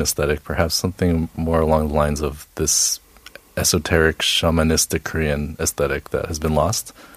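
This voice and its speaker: Over noticeable background noise, a man with an American accent talks at a fairly quick pace, the sound dry and close with no echo. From Boston, US. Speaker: jazz saxophonist. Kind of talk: casual studio interview. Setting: radio studio.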